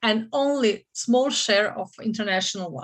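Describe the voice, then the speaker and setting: Over a quiet background, a woman with a Croatian accent speaks fairly slowly at a fairly high pitch with ordinary pitch variation. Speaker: franchise consultant. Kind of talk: seminar presentation. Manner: halting, many fillers and restarts.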